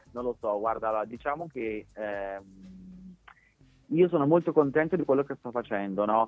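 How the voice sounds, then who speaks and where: The speaker's intonation is lively, with long pauses that come often. The pace is fairly slow. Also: man, medium pitch for a man. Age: 30s. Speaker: TV presenter. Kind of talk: interview. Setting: phone call.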